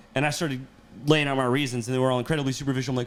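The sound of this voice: At a very fast pace, a man speaks at medium pitch with little pitch movement.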